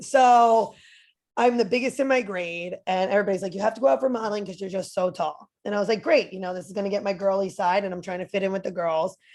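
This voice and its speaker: A woman with a strong New Jersey accent, medium pitch, ordinary pitch variation and an animated tone, over a quiet background. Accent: thick New Jersey. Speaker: personal trainer and motivational speaker. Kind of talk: podcast interview.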